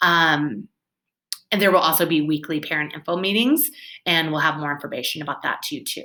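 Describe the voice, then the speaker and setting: The voice has a bright, sharp tone, moves at a fairly quick pace, and shows ordinary pitch variation. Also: woman, fairly low pitch for a woman. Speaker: kindergarten/first grade teacher. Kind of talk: recorded walkthrough for parents. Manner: fast; upbeat, animated.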